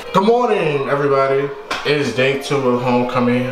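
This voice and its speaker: Clear music plays in the background. The speaker keeps a moderate pace. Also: man. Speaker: student vlogger. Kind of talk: casual vlog chat. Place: home room. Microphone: phone near.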